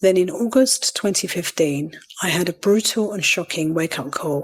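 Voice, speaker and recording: Her pace is moderate and her voice sits fairly low. This woman's pitch rises and falls in an ordinary way. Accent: Cockney. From East London. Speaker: podcast host, virtual assistant. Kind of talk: podcast self-interview answer.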